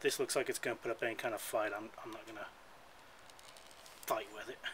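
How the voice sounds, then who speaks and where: A man mumbling at a very fast pace, with big swings in loudness over light background noise. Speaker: hobby scooter mechanic. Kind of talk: casual DIY repair tutorial. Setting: outdoors on a porch. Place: garden.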